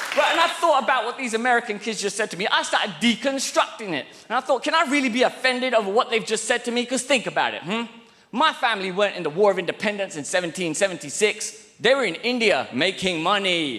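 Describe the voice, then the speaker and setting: A man with a British accent talks at a very fast pace in a raised, projected voice that is high in pitch, his tone animated and his intonation lively. Noticeable background noise runs under the recording. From England. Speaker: stand-up comedian. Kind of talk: stand-up. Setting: stage with audience.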